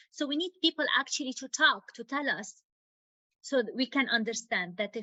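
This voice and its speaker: A woman speaks with a non-native accent. Her intonation is lively. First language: not English. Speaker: women's health advocate. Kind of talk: podcast interview. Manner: halting.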